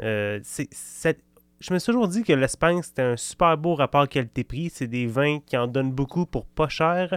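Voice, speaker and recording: Lively intonation in a Quebec accent, at a fairly slow pace, with a dry, close sound and no echo. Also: man. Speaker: wine podcast host. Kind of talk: casual chat. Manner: halting.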